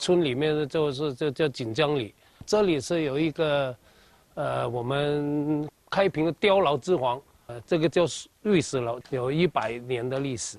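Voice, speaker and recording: A man's unremarkable speaking voice at a fairly slow pace, with ordinary pitch variation. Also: fairly high pitch for a man. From Kaiping, Jiangmen, Guangdong. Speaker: overseas Chinese community leader. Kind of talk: interview.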